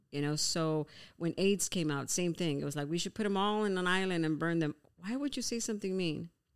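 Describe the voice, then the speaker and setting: On a very clean recording with a silent background, a woman with a normal speaking voice talks at a fairly quick pace, her pitch fairly low with ordinary variation. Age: 50s. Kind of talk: casual chat.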